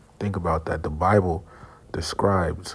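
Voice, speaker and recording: A soft-spoken man talks at a fairly slow pace with a very deep, low pitch. His intonation is monotone and flat. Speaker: religious teacher. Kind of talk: religious lesson. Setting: semi-public place. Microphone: too quiet.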